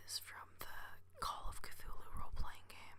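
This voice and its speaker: A man whispers at a very slow pace. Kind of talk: ASMR whispered ramble. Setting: home recording, podcasting microphone. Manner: whispered, soft-spoken; hesitant, many filler words.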